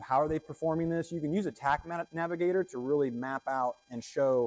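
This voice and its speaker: A man speaks at a fairly quick pace with a fairly high pitch, recorded with a dry, close sound and no echo. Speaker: cybersecurity analyst giving a conference talk. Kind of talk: conference talk. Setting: stage with audience. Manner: fast.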